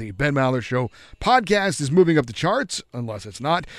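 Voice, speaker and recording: On a very clean recording with a silent background, a man speaks at a fairly quick pace with very wide pitch swings. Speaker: sports update anchor and co-host. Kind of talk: sports news reading. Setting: radio studio.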